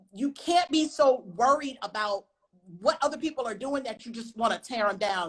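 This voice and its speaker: A woman talks in an animated tone with a high pitch. Her intonation is lively and her pace moderate. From US South, North Carolina. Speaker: writer and film director. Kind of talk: interview on a live stream. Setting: live online stream.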